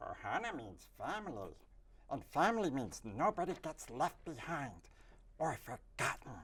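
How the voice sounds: A man puts on a character voice at a fairly high pitch. His pace is moderate.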